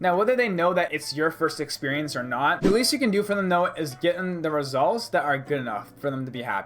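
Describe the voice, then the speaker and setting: A man talks at a very fast pace with lively intonation. Noticeable background noise runs behind him. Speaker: marketing agency entrepreneur / YouTuber. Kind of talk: casual advice monologue to camera. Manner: casual, filler-heavy with repetitions.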